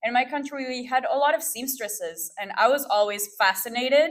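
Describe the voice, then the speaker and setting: A woman with a French accent at a moderate pace, with ordinary pitch variation. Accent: French accent from France. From Peru, then Montreal and Ottawa. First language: Spanish. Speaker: fashion stylist and producer. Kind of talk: talk to an audience. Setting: stage with audience.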